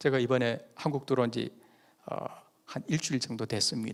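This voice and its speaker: This man talks at a moderate pace with a slight Busan accent. His pitch sits in the medium range. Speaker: pastor. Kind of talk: sermon. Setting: church.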